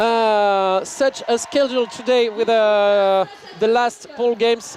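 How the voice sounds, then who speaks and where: A man's voice comes through noticeable background noise. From France. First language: French. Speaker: sports commentator. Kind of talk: live commentary. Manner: halting, with many fillers.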